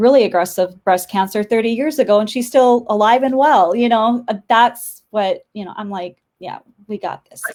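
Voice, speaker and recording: Woman with a North Dakota accent, a fairly high pitch, big swings in loudness and hardly any pauses. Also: ordinary pitch variation, moderate pace. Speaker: interior designer. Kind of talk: casual interview chat. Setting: live video stream. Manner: halting, many fillers.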